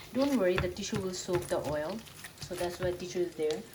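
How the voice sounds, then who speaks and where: A soft-spoken woman talks at a fairly low pitch with lively intonation, her voice carrying audible room echo over noticeable background noise. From Bangladesh. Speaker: vlogger. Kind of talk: cooking vlog narration. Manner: halting.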